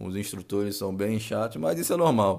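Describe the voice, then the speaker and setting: An unremarkable speaking voice from a man, fairly low in pitch, at a moderate pace, on a very clean recording with a silent background. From Rio de Janeiro, Brazil. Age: 20s. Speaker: marine sergeant and podcast host. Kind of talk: casual monologue. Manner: casual, slangy.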